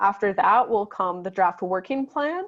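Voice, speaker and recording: In a quiet background, a woman talks at a moderate pace with medium pitch, ordinary pitch variation and a normal speaking voice. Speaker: housing advocate and event host. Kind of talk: slide presentation. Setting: video call.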